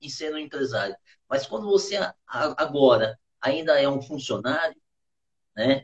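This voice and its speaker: A man at a fairly slow pace with lively intonation. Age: 50s. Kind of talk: interview about faith and business. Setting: online live stream. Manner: halting.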